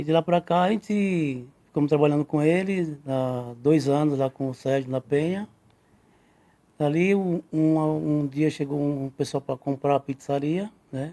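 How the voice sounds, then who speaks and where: The dark, mellow voice moves at a fairly slow pace with ordinary pitch variation and long, frequent pauses, in a dry, close sound with no echo. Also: man, fairly high pitch for a man. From Brazil, Northeast (Sergipe). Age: 60s. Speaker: pizzeria owner and pizza maker. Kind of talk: interview. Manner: casual, frequent 'né' tag.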